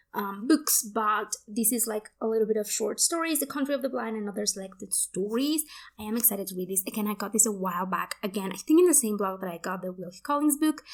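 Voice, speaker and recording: Speaking very fast with hardly any pauses, a woman with a Spanish accent uses lively intonation at a fairly high pitch. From Mexico. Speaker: book youtuber. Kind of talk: casual book haul vlog. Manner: casual, many fillers.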